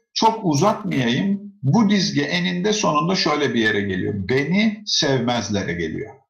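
This man's voice is fairly high and swings very widely in pitch. He talks at a fairly slow pace with hardly any pauses, and audible room echo surrounds him. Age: 40s. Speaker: educator and author. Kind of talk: interview. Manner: conversational.

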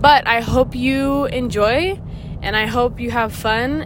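A woman talks with audible room echo around her and noticeable background noise behind her. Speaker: podcast host sharing concussion recovery. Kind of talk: casual monologue. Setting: in a car, driving. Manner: hesitant, says um and stutters a little.

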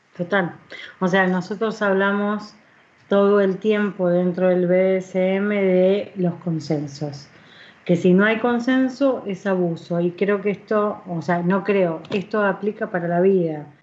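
A woman talks very slowly, her intonation fairly even throughout. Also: medium pitch for a woman. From Argentina, Buenos Aires. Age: 40s. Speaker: radio host. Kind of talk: casual chat.

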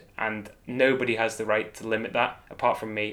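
With a Manx accent, a man speaks at a fairly low pitch. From Isle of Man. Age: 30s. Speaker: professional cyclist. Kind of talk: interview.

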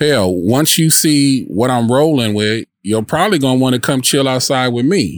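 A man speaks at medium pitch and a moderate pace, with lively intonation. His loudness stays very even, and he hardly pauses at all. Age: 40s. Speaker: podcaster. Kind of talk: casual monologue. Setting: outdoors in a park.

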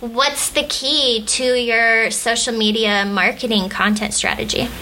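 Over noticeable background noise, a woman with a fairly high pitch talks at a very slow pace, keeping her loudness very even. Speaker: podcast co-host.

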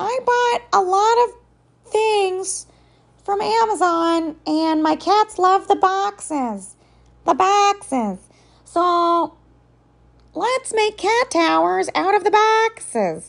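A squeaky, put-on character voice delivers its lines at a very slow pace. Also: female-sounding voice, extremely high pitch for a woman. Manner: exaggerated, silly.

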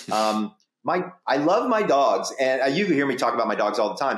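Speaking at a moderate pace with an American accent, a man uses a fairly high pitch and very wide pitch swings. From US South. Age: 50s. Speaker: sleep doctor and psychologist. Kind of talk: casual interview.

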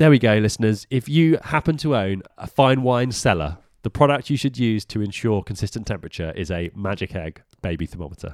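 A man with a British accent speaks at a fairly quick pace and fairly low pitch, with very wide pitch swings and hardly any pauses. The recording is very clean with a silent background, and the sound is dry and close with no echo. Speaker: podcast co-host. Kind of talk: casual chat.

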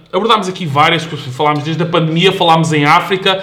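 The man's voice is high-pitched, with a bright, sharp tone. Audible room echo surrounds it. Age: 20s. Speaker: fitness specialist. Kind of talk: casual chat.

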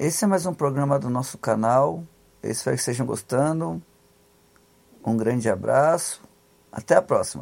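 Over a very clean, silent background, a man with a medium pitch speaks at a moderate pace with lively intonation and long, frequent pauses. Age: 30s. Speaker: podcast host, social commentator. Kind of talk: solo commentary monologue. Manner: halting, many fillers and repetitions.

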